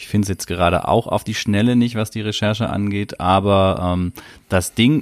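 With an ordinary speaking voice, a man talks at a moderate pace in a fairly low pitch and fairly even intonation. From southern Germany. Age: 30s. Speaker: podcast host. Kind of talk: casual chat. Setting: remote call.

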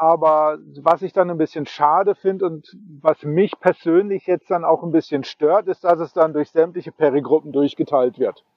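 Pitched high, this man's voice proceeds at a fairly slow pace. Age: 40s. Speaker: podcast guest, radio show co-host. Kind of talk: casual chat. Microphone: choppy internet connection.

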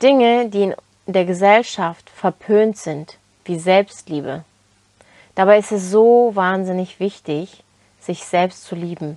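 Speaking with a Turkish accent, a woman has a dark, mellow tone at medium pitch with ordinary pitch variation. Her pace is very slow, with long, frequent pauses. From Turkey, then Germany from age 11. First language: Turkish (speaking German). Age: 20s. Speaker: self-development podcaster. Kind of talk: motivational monologue.

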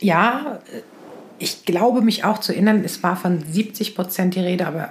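A woman talks at a moderate pace in a medium pitch. Her voice shows ordinary pitch variation. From Lower Saxony, near Hannover. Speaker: podcast co-host. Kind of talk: casual chat.

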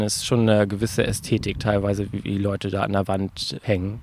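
Speaking at a fairly quick pace, a man has a fairly low pitch, a dark, mellow tone and fairly even intonation. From Greifswald, northeastern Germany. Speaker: volunteer bouldering gym builder. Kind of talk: interview. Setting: bouldering gym in old garage.

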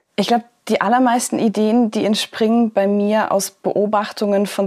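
A woman at a moderate pace and medium pitch, in an ordinary speaking voice. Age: 20s. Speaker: poetry slammer and author. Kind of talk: interview.

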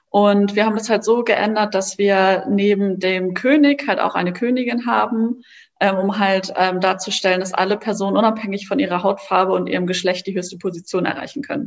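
A woman with a medium pitch talks at a moderate pace with ordinary pitch variation. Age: 20s. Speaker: social entrepreneur, co-founder of a card game startup. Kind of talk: interview. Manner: hesitant, many filler words.

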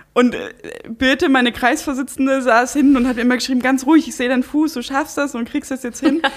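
A woman's high voice, fairly even in intonation, at a very fast pace. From Saxony-Anhalt, eastern Germany. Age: 20s. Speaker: politician, parliamentary candidate. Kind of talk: casual interview. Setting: at guest's home. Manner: clear and articulate.

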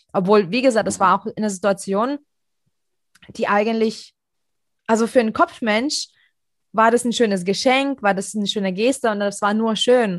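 Here is a woman with a normal speaking voice, medium in pitch with ordinary pitch variation. She talks at a moderate pace against a quiet background. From Europe. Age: 30s. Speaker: podcast host. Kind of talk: casual chat.

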